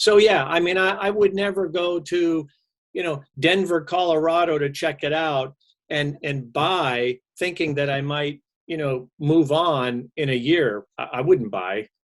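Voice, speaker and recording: In an ordinary speaking voice, a man talks at a fairly slow pace with fairly high pitch and ordinary pitch variation. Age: 60s. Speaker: mortgage professional. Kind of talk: casual chat.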